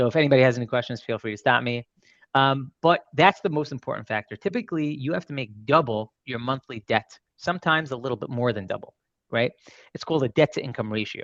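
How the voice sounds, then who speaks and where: A man with a Brooklyn accent talks at a very fast pace with ordinary pitch variation in a dry, close sound with no echo. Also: medium pitch for a man, quiet background. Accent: New York (Brooklyn). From Brooklyn, New York. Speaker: mortgage loan officer. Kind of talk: presentation at a seminar.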